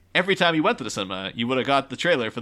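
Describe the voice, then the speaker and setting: A man's bright, sharp tone with lively intonation. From Ireland. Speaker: podcast guest. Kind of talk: casual chat.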